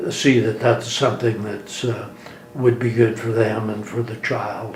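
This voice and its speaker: A man's medium-pitched, monotone, flat delivery at a fairly slow pace, with noticeable background noise. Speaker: attorney. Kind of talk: interview answer.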